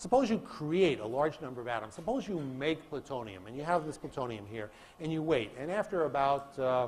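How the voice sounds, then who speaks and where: This man has a normal speaking voice. His pitch sits fairly high. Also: lively intonation, fairly quick pace. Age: 60s. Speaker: professor. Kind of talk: lecture. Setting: lecture hall with students, webcast.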